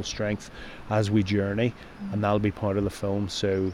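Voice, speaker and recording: With a Northern Irish accent, a man talks at a moderate pace. His pitch is fairly low. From Northern Ireland. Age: 50s. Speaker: mental health campaigner, former paramedic. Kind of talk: interview.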